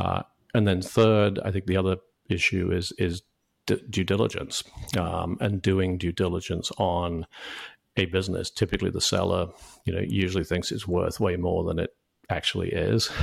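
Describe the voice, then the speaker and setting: At a moderate pace with long, frequent pauses, the speaker uses a British accent and fairly even intonation on a very clean recording with a silent background. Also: man, very deep, low pitch for a man. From UK. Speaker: franchise consultant. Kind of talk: interview. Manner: halting, many fillers and repeated words.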